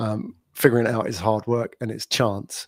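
In a very clean recording with a silent background, a man speaks with a London accent. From London, England. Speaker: podcast agency owner, entrepreneur. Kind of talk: casual interview.

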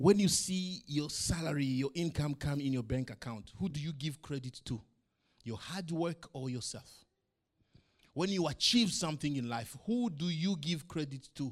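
A man with a fairly high pitch talks at a moderate pace, his intonation lively and his voice somewhat breathy. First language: not English. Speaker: pastor. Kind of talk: sermon. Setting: church.

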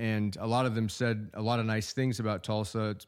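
A man with an American accent speaks at a moderate pace in an unremarkable speaking voice, his pitch fairly low, on a very clean recording with a silent background. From Oklahoma. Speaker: city manager. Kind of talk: radio interview.

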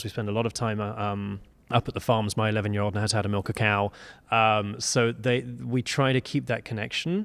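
In a very clean recording over a silent background, a man with a British accent speaks very fast at fairly low pitch, with ordinary pitch variation. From UK. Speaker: business executive and fundraising consultant. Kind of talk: interview. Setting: conference venue.

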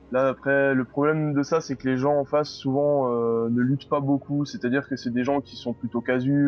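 The man speaks with hardly any pauses. His intonation is monotone and flat. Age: 20s. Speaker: gamer and streamer. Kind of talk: interview.

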